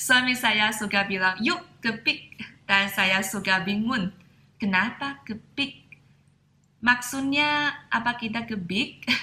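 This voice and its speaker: A woman with a Mandarin Chinese accent talks at a very slow pace, her fairly high voice bright and sharp, with ordinary pitch variation. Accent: Mandarin Chinese accent in Indonesian. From China. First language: Mandarin Chinese (speaking Indonesian). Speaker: Mandarin teacher and vlogger. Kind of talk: casual tutorial.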